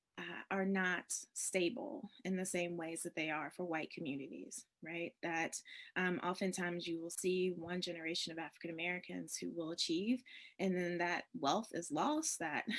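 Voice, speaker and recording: The speaker has an ordinary speaking voice, moving at a moderate pace with ordinary pitch variation. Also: woman, fairly low pitch for a woman. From US South, rural upstate South Carolina. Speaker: priest and state senate candidate. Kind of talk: interview. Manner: conversational with frequent fillers and repeats.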